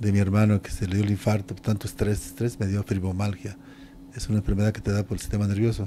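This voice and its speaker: A man talks at a very fast pace with a fairly low pitch. Light background noise runs underneath. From Mexico. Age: 60s. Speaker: retired pro wrestler; interviewee. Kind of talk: interview. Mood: reflective, warm. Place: home room. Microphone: handheld.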